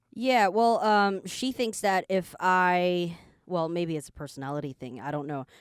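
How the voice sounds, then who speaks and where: An unremarkable speaking voice goes at a moderate pace with lively intonation. The recording is very clean, with a silent background. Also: woman, fairly low pitch for a woman. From Canada. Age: 20s. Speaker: podcast co-host. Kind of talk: casual chat. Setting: studio.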